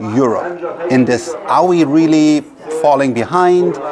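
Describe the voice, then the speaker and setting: There is audible room echo and noticeable background noise. A man with a fairly high voice talks at a fairly slow pace. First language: German. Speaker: podcast host and investor. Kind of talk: interview.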